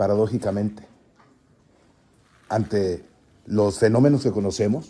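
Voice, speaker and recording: A man's fairly low, dark and mellow voice, with ordinary pitch variation at a fairly slow pace. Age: 60s. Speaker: citizen participant. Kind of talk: forum speech. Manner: halting, with many fillers.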